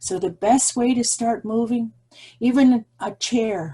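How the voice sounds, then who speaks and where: A woman's somewhat breathy voice, dark and mellow in tone, at a very slow pace. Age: old. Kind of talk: speech. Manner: shaky; halting.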